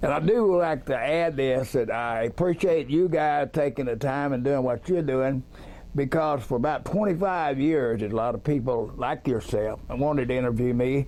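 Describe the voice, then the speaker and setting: Dark and mellow in tone, a man with a Texas accent speaks at a fairly high pitch with ordinary pitch variation. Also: moderate pace. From Texas, Dallas. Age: 70s. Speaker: eyewitness. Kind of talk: interview.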